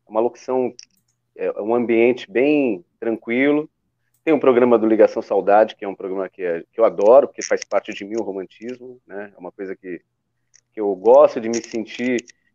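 Calm and dark, mellow in tone, the voice moves at a moderate pace with ordinary pitch variation and big swings in loudness. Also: man, medium pitch for a man. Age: 50s. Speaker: radio presenter. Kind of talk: interview.

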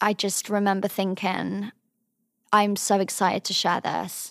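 A woman with a southern English accent speaks at a medium pitch in a monotone, flat intonation. The very clean recording has a silent background and a dry, close sound with no echo. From England, Cotswolds. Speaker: drama student and model. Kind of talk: casual interview.

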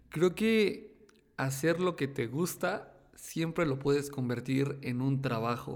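At a very slow pace, a man speaks with fairly high pitch. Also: ordinary pitch variation. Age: 20s. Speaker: YouTube tech content creator. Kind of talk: casual interview chat. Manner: halting, many fillers and repetitions.

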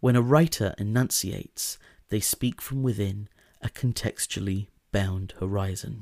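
In a very clean recording with a silent background, a man with a plain, everyday voice speaks at a fairly slow pace, his fairly low pitch showing ordinary pitch variation, in a dry, close sound with no echo. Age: 20s. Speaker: podcast host. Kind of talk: scripted essay narration. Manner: formal.

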